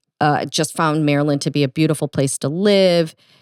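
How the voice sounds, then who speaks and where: Her pitch is very deep and low for a woman, with a Midwestern accent. The very clean recording has a silent background and a dry, close sound with no echo. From US Midwest. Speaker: golf podcast co-host. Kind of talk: casual chat.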